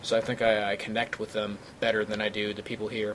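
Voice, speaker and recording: A man with an American accent speaks at a very fast pace in a fairly low, monotone, flat voice. Background noise is noticeable. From St. Louis, Missouri. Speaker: podcast co-host. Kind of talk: casual, joking conversation.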